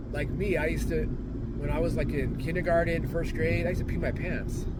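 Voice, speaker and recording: A man speaks in a flat monotone, with noticeable background noise and audible room echo. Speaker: vlogger, side hustle gig worker. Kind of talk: casual monologue vlog. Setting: in a car. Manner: rambling, halting with self-corrections.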